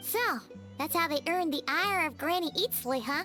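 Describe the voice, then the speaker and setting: A high-pitched, put-on character voice moves at a moderate pace while clear music plays in the background. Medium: video game. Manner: playful, lively.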